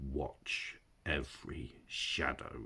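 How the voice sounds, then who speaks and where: A quiet, growling put-on character voice is used here. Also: man, very deep, low pitch for a man. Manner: low, hushed, warning.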